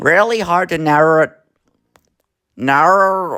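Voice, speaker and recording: A man's put-on character voice, high-pitched, strained and squeaky, at a fairly slow pace, with a dry, close sound and no echo. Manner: weird, strained.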